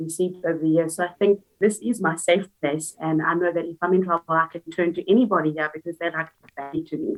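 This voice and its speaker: A woman with a fairly low-pitched voice speaks at a fairly quick pace. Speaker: teaching assistant. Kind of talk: interview. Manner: loud; upbeat.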